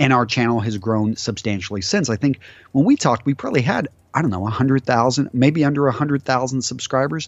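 Very fast speech from a man, medium in pitch, with ordinary pitch variation. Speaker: menswear YouTuber and entrepreneur. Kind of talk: casual interview. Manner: talkative.

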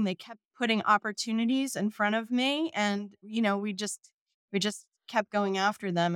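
Using a plain, everyday voice, a woman speaks at a moderate pace in a medium pitch with ordinary pitch variation, in a dry, close sound with no echo. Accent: American. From New Jersey, southern shore. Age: 50s. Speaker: accounting firm managing director. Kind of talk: interview.

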